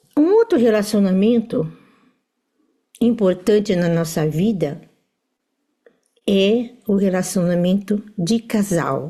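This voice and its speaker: Her voice is medium in pitch, with a dark, mellow tone and a somewhat breathy quality. This woman uses ordinary pitch variation at a fairly slow pace. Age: 70s. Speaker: family constellation teacher. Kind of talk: lecture. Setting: live stream with audience.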